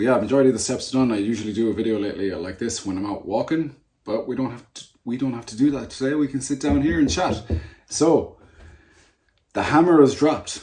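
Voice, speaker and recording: At a very fast pace, a man with a dark, mellow tone speaks at a medium pitch with ordinary pitch variation and big swings in loudness. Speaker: natural bodybuilder and personal trainer. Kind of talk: casual vlog chat. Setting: sitting at desk.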